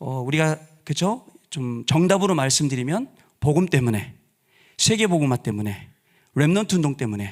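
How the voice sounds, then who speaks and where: Swinging very widely in pitch, a man speaks with a fairly high voice. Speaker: pastor. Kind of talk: sermon. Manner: deliberately slowed down.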